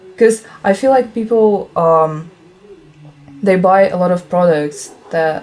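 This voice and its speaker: Noticeable background noise runs through the clip. The speaking pace is very slow. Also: woman, medium pitch for a woman, ordinary pitch variation. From Russia. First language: Russian. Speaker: vegan video creator. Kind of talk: casual chat.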